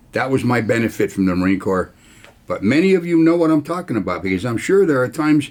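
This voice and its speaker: A man with vocal fry races along at a very fast pace, his pitch swinging very widely. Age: 80s+. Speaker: military veteran and video host. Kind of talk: casual talk to camera. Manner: informal, conversational.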